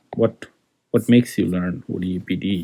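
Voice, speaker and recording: A man with a dark, mellow tone speaks at a moderate pace with ordinary pitch variation, on a very clean recording with a silent background. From Bangladesh. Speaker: engineering lecturer. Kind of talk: lecture. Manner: hesitant, many fillers.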